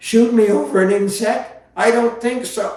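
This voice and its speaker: Putting on a whiny character voice at an extremely high pitch, a man speaks at a moderate pace with a slight echo. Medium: read story. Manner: sly, sneering, whining.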